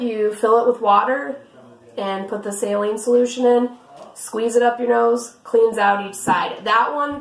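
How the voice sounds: A woman's fairly high, raspy voice at a fairly slow pace, with audible room echo. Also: fairly even intonation.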